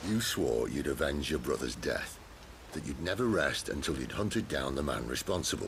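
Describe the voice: A man uses a put-on character voice with extremely low pitch and vocal fry. His intonation is lively and his pace moderate.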